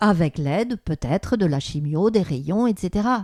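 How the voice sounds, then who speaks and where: A woman with a medium-pitched voice and a dark, mellow tone speaks at a moderate pace with lively intonation, in a dry, close recording with no echo. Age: 60s. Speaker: therapist and author. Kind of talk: interview.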